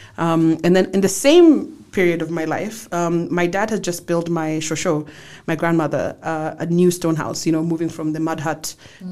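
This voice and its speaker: With noticeable background noise behind her, a woman speaks at a moderate pace in a fairly low pitch with fairly even intonation. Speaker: wind energy director. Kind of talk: interview conversation. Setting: studio. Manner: loud.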